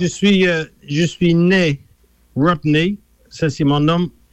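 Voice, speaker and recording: A man speaks at a fairly high pitch with fairly even intonation. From England. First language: English (speaking French). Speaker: musician. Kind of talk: radio interview.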